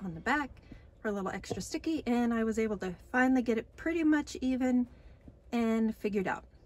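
This woman's voice sits fairly high in pitch. It is somewhat breathy. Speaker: DIY vlogger. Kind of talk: casual vlog narration. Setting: inside a cargo trailer camper.

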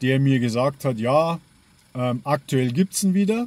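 The recording sounds dry, with no echo. A man talks fairly slowly. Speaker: pipe-smoking hobby vlogger. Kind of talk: casual vlog chat. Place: car. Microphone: phone near.

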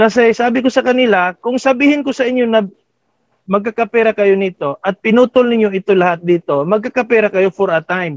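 Over a quiet background with a dry sound and no echo, a man speaks at a very fast pace in a high pitch with ordinary pitch variation. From Philippines. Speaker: farming club founder; guest. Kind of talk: casual talk in Taglish. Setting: video call. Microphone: video call.

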